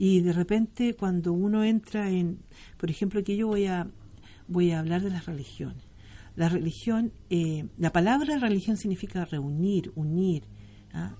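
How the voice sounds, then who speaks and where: A woman speaks in a Chilean accent at a medium pitch, with ordinary pitch variation and a fairly slow pace. Her tone is dark and mellow, and somewhat breathy. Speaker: tarot reader. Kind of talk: interview.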